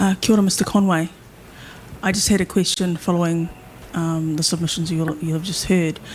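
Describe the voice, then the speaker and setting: A soft-spoken woman with a New Zealand accent, fairly low in pitch, monotone and flat, at a fairly quick pace broken by long, frequent pauses. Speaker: hearing panel member. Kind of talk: legal hearing questioning. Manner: halting.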